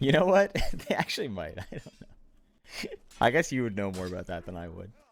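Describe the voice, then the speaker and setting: Very fast male speech in an American accent, medium in pitch, with very wide pitch swings and big swings in loudness. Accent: sounds American to some, Canadian to others. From Ontario, Canada. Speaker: tournament stream caster. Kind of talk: casual chat on live stream. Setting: live stream.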